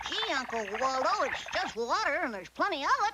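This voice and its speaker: Pitched high, a cartoonish character voice moves along at a fairly quick pace. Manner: earnest, innocent.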